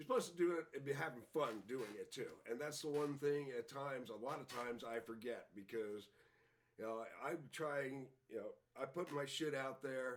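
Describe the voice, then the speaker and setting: At a moderate pace, a man talks in a normal speaking voice, fairly high for a man, with ordinary pitch variation. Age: 60s. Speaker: punk musician. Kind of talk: casual chat. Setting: studio.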